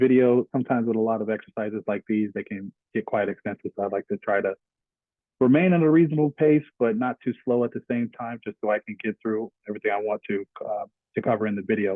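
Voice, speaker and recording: At a very fast pace, a man talks in a medium pitch with ordinary pitch variation. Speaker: IT security instructor. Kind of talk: screen-recorded tutorial. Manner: halting, many fillers.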